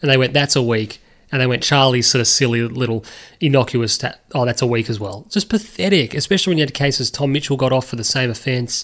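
A man with an Australian accent speaks very fast at a medium pitch, his pitch varying in an ordinary way. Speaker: podcast host. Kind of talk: casual sports banter.

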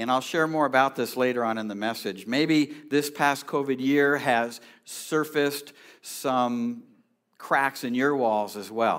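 A man's normal speaking voice with an American accent at a fairly slow pace, on a very clean recording with a silent background. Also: medium pitch for a man, fairly even intonation. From California. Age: 60s. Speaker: pastor. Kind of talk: sermon. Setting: church.

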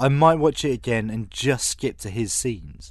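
Medium-pitched man with a British accent, lively intonation and a moderate pace, against a quiet background. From Britain. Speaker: film podcast host. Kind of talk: casual chat.

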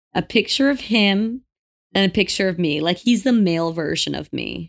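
With a normal speaking voice, lively intonation and a moderate pace, the speech is captured on a very clean recording with a silent background. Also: woman. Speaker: podcast host. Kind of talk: casual chat.

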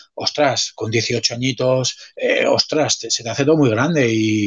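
The pitch varies in an ordinary way, and there is noticeable background noise. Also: man. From Spain, Pamplona (Navarre). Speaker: swimming coach, former swimmer. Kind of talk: casual chat.

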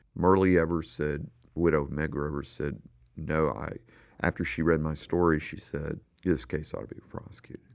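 At a moderate pace, a man talks with a very deep, low pitch and fairly even intonation. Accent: Southern US. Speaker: investigative journalist and author. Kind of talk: radio interview about his book.

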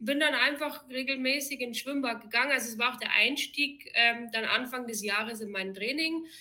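A woman speaks in a high, bright and sharp voice, raised and projected. Her pace is moderate with ordinary pitch variation and hardly any pauses. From Bavaria, Germany (Erding). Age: 30s. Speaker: amateur triathlete. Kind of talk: interview.

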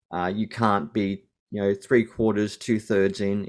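A man's voice with an Australian accent over a quiet background. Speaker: New Testament lecturer and Anglican priest. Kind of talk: interview.

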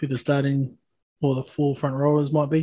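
The speaker has a New Zealand accent and a moderate pace. The intonation is monotone and flat. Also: man. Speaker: rugby podcast co-host. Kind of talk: casual chat.

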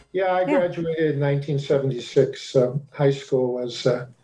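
A man with an American accent speaks at a fairly high pitch with ordinary pitch variation. His tone is dark and mellow, and somewhat breathy. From US Mid-Atlantic, Washington DC / Maryland suburbs. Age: 60s. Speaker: astrologer. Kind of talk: interview.

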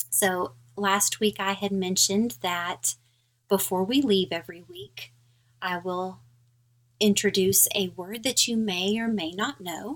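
With an American accent, a woman in a normal speaking voice talks at a fairly slow pace. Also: medium pitch for a woman, ordinary pitch variation. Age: middle-aged. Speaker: podcast host. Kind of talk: casual chat.

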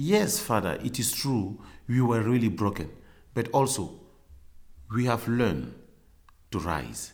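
Amid audible room echo, a man with vocal fry speaks at a medium pitch and a fairly slow pace. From Cameroon. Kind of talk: interview. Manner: halting, many fillers.

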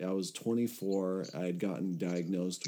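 A man with an American accent speaks at a fairly slow pace in a very deep, low pitch and a dark, mellow tone. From California. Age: 30s. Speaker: recovery podcast host. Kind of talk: casual chat. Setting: video call.

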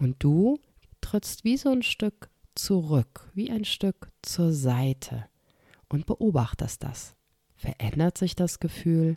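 A woman's calm, soothing voice, dark and mellow in tone and fairly low in pitch, with very wide pitch swings, a very slow pace and long, frequent pauses, in a very clean, dry, close recording with a silent background and no echo. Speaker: podcast host. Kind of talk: guided meditation. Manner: slow, calm, soothing; soft-spoken, with long pauses and repeated word.

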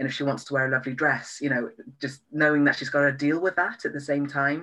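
Someone with a Welsh accent talks at a fairly quick pace. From Wales. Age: 30s. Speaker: sex and relationship therapist. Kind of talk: interview. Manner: hesitant, many fillers.

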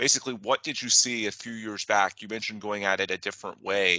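Against a quiet background, a man with a fairly low pitch moves at a fairly quick pace. He has an unremarkable speaking voice and fairly even intonation. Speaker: podcast host and trade magazine news editor. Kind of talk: interview.

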